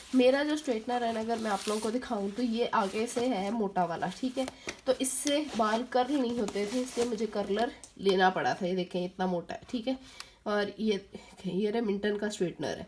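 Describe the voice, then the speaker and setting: There is noticeable background noise as a woman speaks. She keeps a moderate pace with ordinary pitch variation. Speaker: beauty vlogger. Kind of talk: tutorial. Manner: casual, hesitant with fillers.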